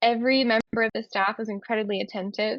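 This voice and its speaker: The intonation here is monotone and flat. The speaker is a woman. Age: 30s. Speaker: endometriosis patient. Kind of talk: testimony. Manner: hesitant, many fillers.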